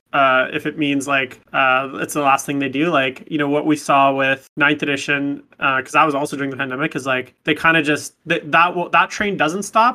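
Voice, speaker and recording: A man with a Canadian accent talks at a moderate pace, pitched fairly high. He has an ordinary speaking voice. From Canada, Vancouver, British Columbia. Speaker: competitive wargamer. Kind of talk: casual chat.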